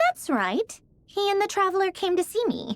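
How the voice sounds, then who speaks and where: A put-on character voice, squeaky and extremely high in pitch, at a moderate pace. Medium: video game. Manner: brusque, skeptical.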